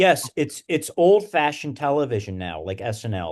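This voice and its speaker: Over a quiet background, a man talks at a moderate pace with a strong Philadelphia accent. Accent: thick Delco. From Wilmington, Delaware / Delco area. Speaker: podcast co-host. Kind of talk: casual chat.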